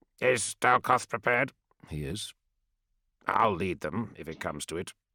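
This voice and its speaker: A man puts on a character voice, raspy and fairly low in pitch. He moves at a moderate pace with lively intonation and big swings in loudness. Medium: read story. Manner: dry, laconic.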